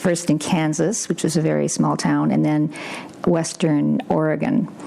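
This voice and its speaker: A woman at a moderate pace against noticeable background noise. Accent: Canadian. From Northern Ontario, Sudbury. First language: Ukrainian. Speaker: livestock guardian dog breeder, scientist. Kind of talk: interview. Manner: halting.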